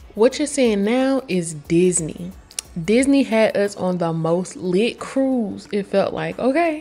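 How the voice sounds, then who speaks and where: Noticeable background noise sits behind a woman speaking at a very slow pace. Her pitch swings very widely. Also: medium pitch for a woman. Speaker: vlogger. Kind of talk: casual vlog talk to camera. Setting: at home getting ready, then festival. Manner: casual, chatty.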